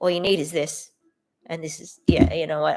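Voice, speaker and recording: A woman with an Australian accent speaks at a fairly quick pace in a very clean recording with a silent background. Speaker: filmmaker and artist, channel owner. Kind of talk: casual livestream self-introduction. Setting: livestream, solo to camera. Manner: hesitant, many fillers and restarts.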